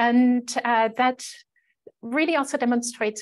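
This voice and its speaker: A woman with a German accent at a fairly slow pace. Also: quiet background. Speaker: conference presenter. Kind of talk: conference presentation. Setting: video call. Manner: frequent fillers, um and uh.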